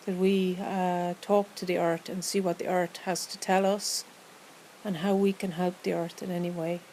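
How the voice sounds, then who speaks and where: Her tone calm, dark and mellow, a woman with an Irish accent speaks fairly slowly in a monotone, flat intonation. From Ireland. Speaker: meditation guide. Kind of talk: guided meditation. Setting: outdoors. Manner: slow, calm.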